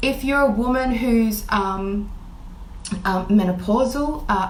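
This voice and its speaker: Amid noticeable background noise and audible room echo, a woman speaks with ordinary pitch variation. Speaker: intuitive healer. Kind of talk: live stream talk. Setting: Facebook live.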